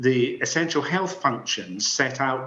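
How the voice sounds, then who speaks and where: Medium pitch from a male speaker, a fairly slow delivery, ordinary variation in pitch, and noticeable noise behind him. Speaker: inquiry witness, former public health official. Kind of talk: formal testimony. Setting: public inquiry hearing room. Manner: animated.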